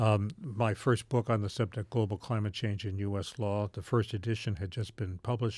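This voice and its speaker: A man with an American accent and an unremarkable speaking voice talks at a fairly quick pace, with a fairly low pitch and fairly even intonation, on a very clean recording with a silent background. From US South, Charleston, West Virginia. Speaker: law professor. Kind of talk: interview.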